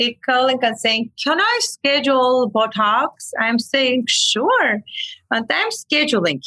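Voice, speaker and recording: In an Armenian accent, a woman speaks at a very slow pace in a raised, projected voice with a high pitch and lively intonation. Her tone is bright and sharp, and the sound is dry and close with no echo. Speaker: medical aesthetics practitioner. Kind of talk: storytelling in casual chat. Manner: animated.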